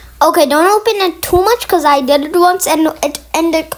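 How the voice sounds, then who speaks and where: Over noticeable background noise, a woman talks at a fairly quick pace and an extremely high pitch. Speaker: gaming youtuber reacting to video. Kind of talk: reaction commentary. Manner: halting.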